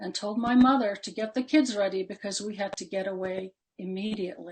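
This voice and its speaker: An American accent from a woman, fairly high in pitch and somewhat breathy, at a moderate pace. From Palestine and Jordan, then US. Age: 70s. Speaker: invited panelist. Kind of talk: personal testimony talk. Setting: webinar.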